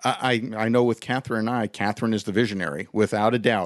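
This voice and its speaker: A man's medium-pitched voice at a fairly quick pace, dry and close with no echo, over a quiet background, an unremarkable speaking voice. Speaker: podcast host. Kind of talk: casual interview chat.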